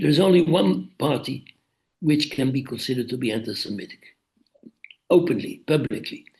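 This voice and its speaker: A man talks at a fairly quick pace yet with long, frequent pauses, his somewhat breathy voice fairly high in pitch and lively in intonation. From Netherlands. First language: Dutch. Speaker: author. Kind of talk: interview. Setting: video call.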